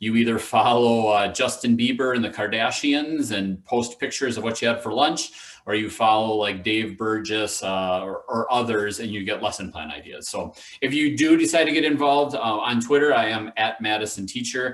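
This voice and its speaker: A man talks with hardly any pauses, at a medium pitch and with ordinary pitch variation. Noticeable background noise and audible room echo surround him. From Wisconsin. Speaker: education official and teacher educator. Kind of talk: conference presentation. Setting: video call. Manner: fast.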